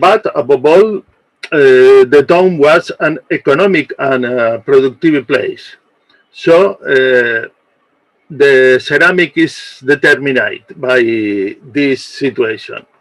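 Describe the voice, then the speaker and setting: A man with a non-native accent speaks at a very slow pace in a fairly high voice, with ordinary pitch variation. The sound is dry and close, with no echo. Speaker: archaeologist. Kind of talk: conference presentation. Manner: halting.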